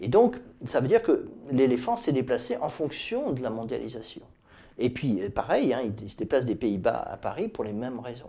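Delivered at a moderate pace, the voice swings widely in loudness. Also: man. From France, Tours; France. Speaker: author. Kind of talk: interview monologue about his book; interview answer. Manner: hesitant, many fillers. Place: office. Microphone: lapel.

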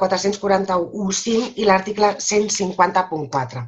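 This is a woman's voice. Her pitch is medium. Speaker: lawyer and legal trainer. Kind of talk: webinar lecture. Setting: video call. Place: home room. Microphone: webcam.

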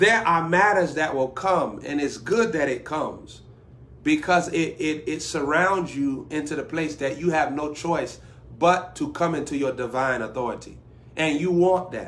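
His pitch moves in an ordinary way. The man keeps a moderate pace. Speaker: preacher. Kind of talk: sermon. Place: home room. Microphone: phone near.

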